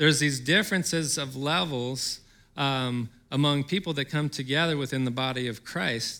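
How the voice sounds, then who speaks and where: A man with a fairly high pitch and ordinary pitch variation talks at a fairly slow pace, a plain, everyday voice, on a very clean recording with a silent background. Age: 40s. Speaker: pastor. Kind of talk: sermon.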